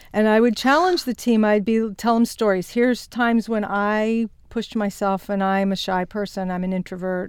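In a plain, everyday voice with an American accent, a woman speaks at a fairly quick pace with medium pitch and ordinary pitch variation, on a very clean recording with a silent background. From Virginia, US South (Shenandoah Valley). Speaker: business executive and author. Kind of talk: interview.

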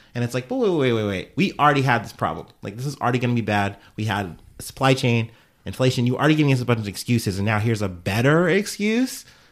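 A man at a very fast pace with lively intonation. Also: medium pitch for a man. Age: young. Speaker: podcaster. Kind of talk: casual chat.

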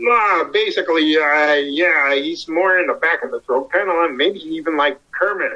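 Here a man with an American accent talks at a high pitch with ordinary pitch variation. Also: moderate pace. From US Midwest, Ohio. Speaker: voice actor. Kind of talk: interview.

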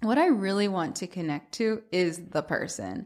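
A plain, everyday voice with an American accent carries lively intonation. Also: woman. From US South, Atlanta. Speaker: vegan food blogger. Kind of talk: interview.

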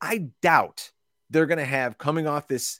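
Recorded very cleanly against a silent background, a man's voice sounds dry and close with no echo, showing ordinary pitch variation. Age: 40s. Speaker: fantasy football analyst. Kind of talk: casual chat. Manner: animated.

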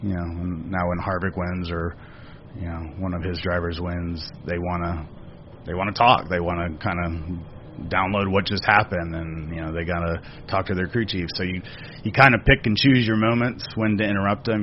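A man with an American accent talks at a fairly quick pace. His very deep, low voice keeps fairly even intonation. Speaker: racing operations director. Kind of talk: casual interview.

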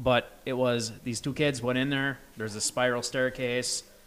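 In an American accent, a man speaks at a medium pitch and a fairly slow pace. His intonation is monotone and flat, with noticeable background noise behind him. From Massachusetts. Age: 30s. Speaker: musician. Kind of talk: casual chat. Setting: in person.

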